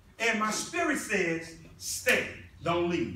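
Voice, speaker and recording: A man talks at a moderate pace with a high pitch. Light background noise and audible room echo are present. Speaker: presenter. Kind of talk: motivational presentation. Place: meeting room. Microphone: camera far.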